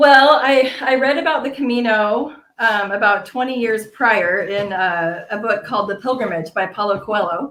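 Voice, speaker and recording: With an ordinary speaking voice and an American accent, a woman speaks at a fairly high pitch and a moderate pace, showing ordinary pitch variation and hardly any pauses. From United States. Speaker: pilgrim. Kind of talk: interview storytelling.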